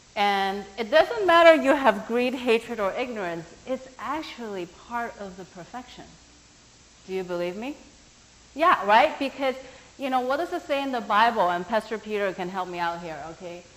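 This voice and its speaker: A woman's fairly high, animated voice at a moderate pace, with a non-native accent, very wide pitch swings, big swings in loudness and noticeable background noise. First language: not English. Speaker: workshop teacher. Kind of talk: workshop talk.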